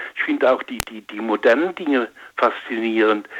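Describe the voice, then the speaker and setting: Noticeable background noise behind a man at a moderate pace, with ordinary pitch variation. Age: old. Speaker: retired lubricants expert, caller. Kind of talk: phone call-in. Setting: phone call. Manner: halting.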